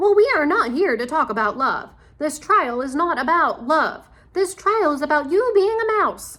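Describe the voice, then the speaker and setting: A woman's put-on character voice, shouting at an extremely high pitch and a moderate pace. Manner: shouting, angry.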